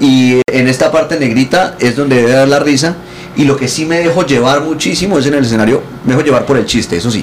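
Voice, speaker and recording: Over noticeable background noise, a man speaks very fast at a fairly high pitch, with ordinary pitch variation and very even loudness. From Colombia. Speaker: comedian. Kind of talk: casual chat. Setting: hotel room.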